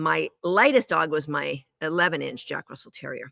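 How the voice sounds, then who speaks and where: Bright, sharp, animated tone with vocal fry, at a fairly slow pace in a dry, close sound with no echo. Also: woman. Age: 60s. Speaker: dog agility trainer. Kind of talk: live online training lesson. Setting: live stream.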